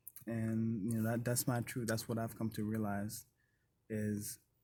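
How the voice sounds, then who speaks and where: Here a man speaks in a Haitian accent at a fairly slow pace and medium pitch. His tone is dark and mellow, his intonation monotone and flat. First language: Haitian Creole. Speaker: vlogger. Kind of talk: casual self-reflection monologue. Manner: unscripted, with frequent fillers.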